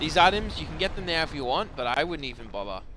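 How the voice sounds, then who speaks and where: With an ordinary speaking voice, a man talks at a fairly quick pace, his fairly high pitch moving in a lively way. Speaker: gaming streamer. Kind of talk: live gameplay commentary. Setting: live stream.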